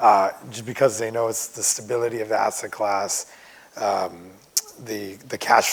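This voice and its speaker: A man speaks in a monotone with flat intonation. Noticeable background noise sits behind him. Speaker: medical real estate investor panelist. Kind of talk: panel discussion.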